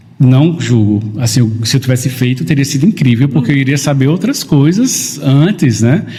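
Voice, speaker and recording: A man's somewhat breathy voice, dark and mellow in tone, in a northeastern Brazilian accent, with lively intonation and very even loudness. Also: medium pitch for a man, moderate pace, hardly any pauses. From Northeast Brazil, interior of Paraíba. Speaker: photographer. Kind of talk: podcast interview.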